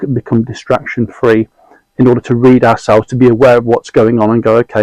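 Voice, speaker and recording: In a British accent, the speaker goes at a fairly quick pace with monotone, flat intonation and a dry, close sound with no echo. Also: man. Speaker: mentor and guest sharing anxiety experience. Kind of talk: casual interview conversation. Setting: in-person recording, notebooks on the table. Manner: fast.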